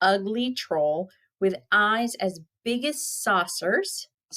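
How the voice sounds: Delivered in a natural reading voice, the speech has lively intonation over a quiet background.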